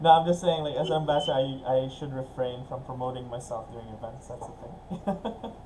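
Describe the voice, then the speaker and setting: A man with an American accent talks at a fairly quick pace, medium in pitch with ordinary pitch variation and big swings in loudness. Room echo is audible and background noise is noticeable. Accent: American-sounding. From Philippines. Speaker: business networking ambassador and lending company owner. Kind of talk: webinar discussion.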